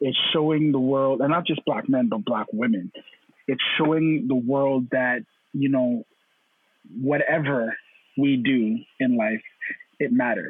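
A man's medium-pitched voice at a fairly slow pace, with very even loudness, ordinary pitch variation and long, frequent pauses. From Canada (Toronto), Caribbean parents. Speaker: panel guest. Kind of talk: casual panel discussion.

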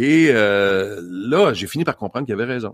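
A man with a Quebec accent at a medium pitch and fairly slow pace, with lively intonation and a dry, close sound with no echo on a very clean recording with a silent background. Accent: Québécois French. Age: 50s. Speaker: motivational speaker. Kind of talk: casual interview.

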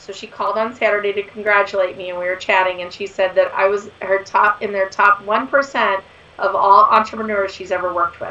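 A woman speaks at a fairly quick pace with a medium pitch. Her tone is bright and sharp, and her intonation stays fairly even.

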